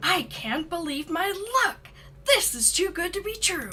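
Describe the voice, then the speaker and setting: In a put-on character voice, the speaker sounds enthusiastic at an extremely high pitch and moderate pace, with clear music in the background. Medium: game stream. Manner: eager, enthusiastic.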